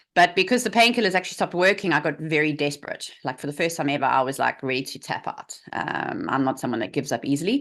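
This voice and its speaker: A woman talks very fast in a South African accent, with hardly any pauses. Her very deep, low voice has very wide pitch swings. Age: 40s. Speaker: health coach. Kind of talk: interview.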